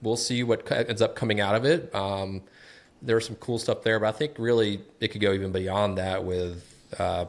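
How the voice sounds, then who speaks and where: A fairly low-pitched man at a moderate pace, with ordinary pitch variation, on a very clean recording with a silent background. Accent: slight Southern US. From US South, Atlanta, Georgia. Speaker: smart home content creator. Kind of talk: casual podcast chat.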